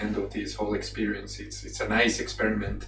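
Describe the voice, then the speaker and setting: Music plays in the background while a man speaks with a Colombian accent. Room echo is audible. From Colombia, Manizales. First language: Spanish. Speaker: animation artist. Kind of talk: presentation. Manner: halting.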